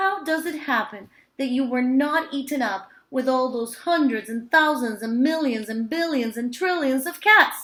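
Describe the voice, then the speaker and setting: A woman's high-pitched, put-on character voice. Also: moderate pace. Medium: read story.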